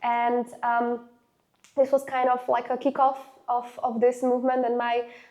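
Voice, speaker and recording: Speaking at a fairly slow pace, a woman has a high pitch and a Slovak accent. Her intonation stays fairly even. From Slovakia, Nové Zámky near Hungarian border. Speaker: student council leader and activist. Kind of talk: interview. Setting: university interview. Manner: halting, many fillers.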